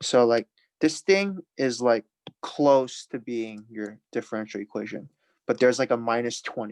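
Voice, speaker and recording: In a very clean recording with a silent background and a dry, close sound with no echo, a man with a plain, everyday voice speaks at a moderate pace and medium pitch with lively intonation. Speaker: math teacher. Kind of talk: lecture.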